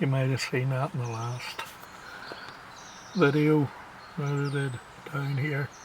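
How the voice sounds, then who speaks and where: A man's fairly high voice in a relaxed tone, fairly slow and fairly even in intonation, with long, frequent pauses over noticeable background noise. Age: 60s. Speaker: wildlife vlogger. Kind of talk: casual vlog monologue. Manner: reflective, relaxed.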